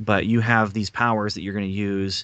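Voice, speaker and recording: A man's fairly low voice comes through with a bright, sharp tone. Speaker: guest co-host. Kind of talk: casual podcast chat, comic review.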